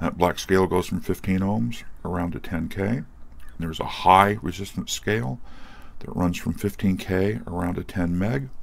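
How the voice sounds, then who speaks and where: Here a man speaks with a very deep, low pitch. His pitch varies in an ordinary way at a moderate pace. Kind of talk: tutorial. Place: workshop. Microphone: phone near.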